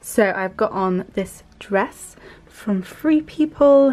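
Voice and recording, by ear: A woman with medium pitch and a slightly mellow tone speaks at a slow pace. Her intonation is lively.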